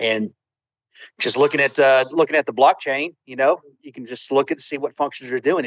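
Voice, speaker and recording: Recorded with a dry, close sound and no echo, this voice moves at a moderate pace with fairly even intonation in a Southern US accent. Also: man. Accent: Southern twang. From Texas. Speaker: contractor, crypto project member. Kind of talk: casual livestream chat. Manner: halting, many repetitions.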